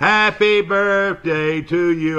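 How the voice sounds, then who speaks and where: This is a man with an Alabama accent. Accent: US South (Alabama). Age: 70s. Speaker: local TV talk show host. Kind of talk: casual live TV chat. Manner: halting, many fillers.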